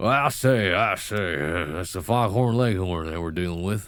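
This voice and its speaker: Putting on a character voice, a man with a Southern US accent speaks at a moderate pace in a very deep, low pitch. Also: very clean recording, silent background. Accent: southern American. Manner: exaggerated, full-on.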